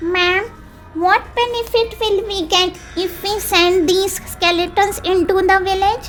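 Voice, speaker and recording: A female-sounding put-on character voice reaches an extremely high pitch. Clear background noise runs underneath. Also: moderate pace. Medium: read story.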